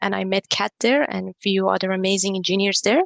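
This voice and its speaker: At a fairly quick pace, a woman speaks with a dry, close sound and no echo. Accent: Persian. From Iran. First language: Persian. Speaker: non-profit co-founder, tech professional. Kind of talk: podcast interview.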